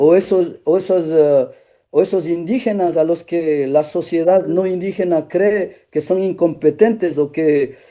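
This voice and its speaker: A man's high-pitched voice, dark and mellow in tone, at a fairly slow pace with ordinary pitch variation. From Otavalo, Ecuador. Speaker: actor. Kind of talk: interview. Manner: halting, with many restarts.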